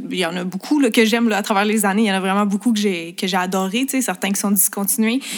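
Speaking at a very fast pace, a woman holds a medium pitch with fairly even intonation. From Quebec, Montreal. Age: 20s. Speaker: makeup artist and beauty influencer. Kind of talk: casual interview chat.

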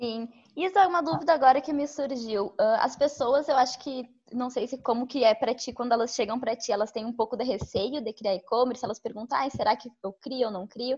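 Fairly quick speech carries ordinary pitch variation. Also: woman, high pitch for a woman. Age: 20s. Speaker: journalist, co-host. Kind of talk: casual interview.

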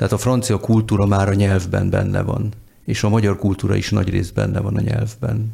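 The pace is fairly quick. The delivery is flat and monotone. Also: man, fairly low pitch for a man. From born and raised largely abroad. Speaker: diplomat. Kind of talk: casual chat.

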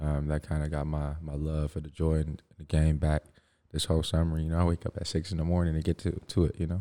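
A man with a very deep, low pitch and a dark, mellow tone speaks at a very fast pace in a monotone, flat intonation. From Toronto, Canada (moved from Africa as a child). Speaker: professional basketball player. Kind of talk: casual interview.

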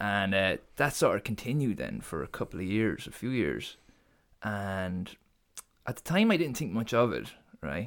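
In an Irish Midlands accent, a speaker with vocal fry moves at a moderate pace through very wide pitch swings, on a very clean recording with a silent background. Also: man, fairly low pitch for a man. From Ireland, Co. Laois. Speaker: graphic designer guest. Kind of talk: casual interview chat.

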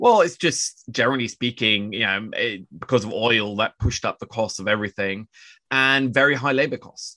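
With a bright, sharp tone, a man speaks at a moderate pace and medium pitch, showing ordinary pitch variation and big swings in loudness. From Norway. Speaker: financial journalist. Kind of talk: casual interview chat. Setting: video call from Oslo.

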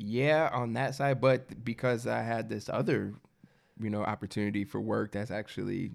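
A man with an American accent and vocal fry, moderate pace and ordinary pitch variation, on a very clean recording with a silent background. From US Midwest, Michigan. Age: 20s. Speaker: barber. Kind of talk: casual chat.

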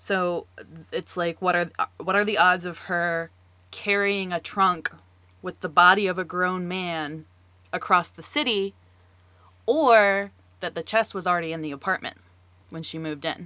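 On a very clean recording with a silent background, a woman with an American accent speaks at medium pitch in a bright, sharp tone, at a moderate pace with fairly even intonation and long, frequent pauses. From US South, North Carolina. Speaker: podcast co-host. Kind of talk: casual chat.

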